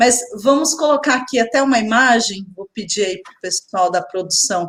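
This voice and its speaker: A woman's plain, everyday voice, fairly high in pitch, with ordinary pitch variation and a moderate pace. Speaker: education specialist. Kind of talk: webinar presentation.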